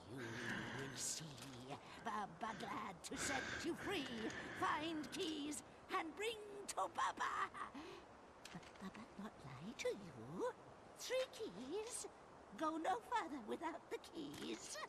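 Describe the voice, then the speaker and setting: In a put-on character voice, the speaker talks at a very slow pace with long, frequent pauses over loud background noise. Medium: video game. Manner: broken speech, speaks of herself in third person; cackling.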